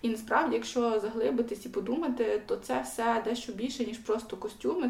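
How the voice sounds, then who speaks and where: A woman with a western Ukrainian accent, fairly high pitch and moderate pace, over noticeable background noise. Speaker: podcast co-host. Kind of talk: casual chat.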